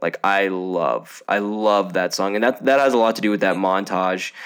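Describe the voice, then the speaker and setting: Fairly low male voice with fairly even intonation. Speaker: film podcast host. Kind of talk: casual chat.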